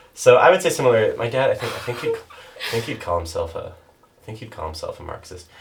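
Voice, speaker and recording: With a Canadian Prairie accent, a man talks at a very fast pace with big swings in loudness, over noticeable background noise. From Canada, Saskatchewan (North Battleford). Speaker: podcast guest. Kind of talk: casual chat. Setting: podcast recorded in a bathtub.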